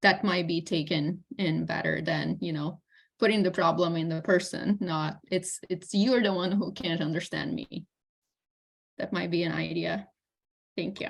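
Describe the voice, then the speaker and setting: Her pitch fairly low, a woman talks at a moderate pace with fairly even intonation and vocal fry. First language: not English. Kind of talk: comment in online meeting. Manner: halting.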